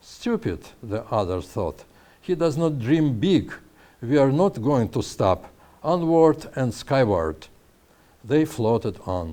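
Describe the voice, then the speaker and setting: With a Russian accent, a man of medium pitch and a dark, mellow tone speaks at a very slow pace with very wide pitch swings and long, frequent pauses. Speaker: author. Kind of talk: reading his own story aloud.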